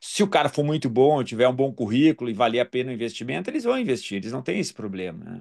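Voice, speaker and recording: Talking very fast with hardly any pauses, a man uses lively intonation at a medium pitch. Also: big swings in loudness. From southern Brazil, Porto Alegre. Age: 60s. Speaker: dental surgeon and professor. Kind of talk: casual interview chat.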